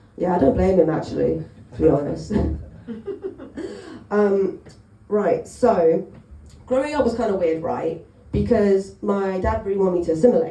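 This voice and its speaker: In a Cockney accent, a woman speaks at a moderate pace with long, frequent pauses, in a room with audible echo. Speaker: stand-up comedian. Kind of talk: stand-up. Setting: stage with audience.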